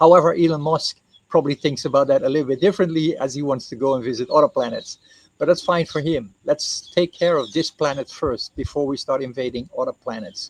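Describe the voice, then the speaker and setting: A man's unremarkable speaking voice, fairly high in pitch and fairly quick, with ordinary pitch variation and a dry, close sound with no echo. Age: 60s. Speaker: co-founder presenting his reforestation project. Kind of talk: explainer talk to camera.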